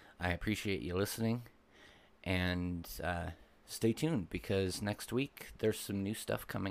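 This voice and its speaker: At a fairly slow pace, a man speaks in a fairly low pitch with ordinary pitch variation, an unremarkable speaking voice. The recording is very clean, with a silent background. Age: 30s. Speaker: podcast host and mindset coach. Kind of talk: solo podcast monologue.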